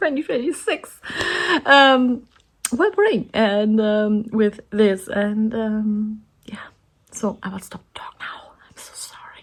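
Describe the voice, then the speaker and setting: A woman's fairly high voice with a German accent, very slow pace, ordinary pitch variation and big swings in loudness. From Germany. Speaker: artist and coloring channel creator. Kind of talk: casual chat. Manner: halting.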